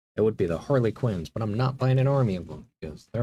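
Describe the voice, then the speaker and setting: A man's dark, mellow, somewhat breathy voice at medium pitch, very fast in pace with lively intonation. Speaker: hobby streamer building miniatures. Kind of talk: casual chat while building models. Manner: soft-spoken.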